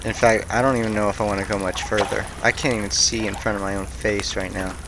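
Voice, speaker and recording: Over noticeable background noise, a man talks at a fairly low pitch with fairly even intonation. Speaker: gaming youtuber. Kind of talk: let's play commentary.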